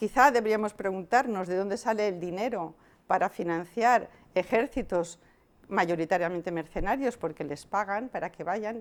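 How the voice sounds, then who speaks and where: On a very clean recording with a silent background, a woman speaks at a moderate pace and medium pitch. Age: 60s. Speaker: activist, head of an anti-islamophobia group. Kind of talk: interview. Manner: hesitant, with fillers.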